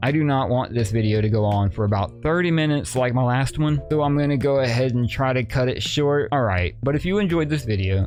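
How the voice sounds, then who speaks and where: With music in the background, a man speaks fairly quickly at a medium pitch, hardly pausing, his loudness very even and his intonation lively. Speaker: gaming video creator. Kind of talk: tutorial. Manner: casual.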